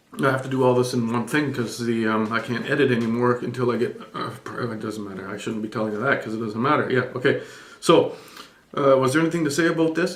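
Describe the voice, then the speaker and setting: A man speaks at a very fast pace, his pitch medium and its variation ordinary. Noticeable background noise runs beneath him. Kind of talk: irreverent scripture reading and commentary. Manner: casual, sardonic, hesitant.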